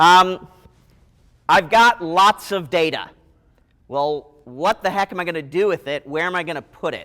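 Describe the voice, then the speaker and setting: A man's high-pitched voice with a bright, sharp tone, ordinary pitch variation, a moderate pace and long, frequent pauses. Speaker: university IT director and professor. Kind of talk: conference talk. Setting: stage with audience. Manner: loud; animated.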